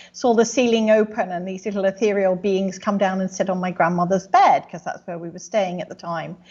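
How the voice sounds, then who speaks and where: A woman with an English accent, medium pitch, ordinary pitch variation and a fairly quick pace, over a quiet background. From England. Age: 60s. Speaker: clairvoyant medium. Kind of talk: interview.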